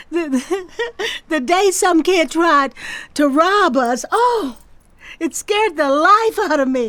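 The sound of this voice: Using a put-on character voice, a woman speaks at an extremely high pitch with a fairly bright tone and lively intonation. Her pace is very slow, broken by long, frequent pauses.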